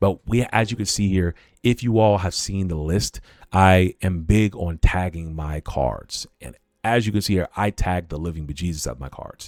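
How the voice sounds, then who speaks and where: A man's very deep, low voice, animated in tone, at a moderate pace with ordinary pitch variation and big swings in loudness, in a dry, close sound with no echo on a very clean recording with a silent background. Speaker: cEDH content creator and streamer. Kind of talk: livestream deck tech. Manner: casual, animated.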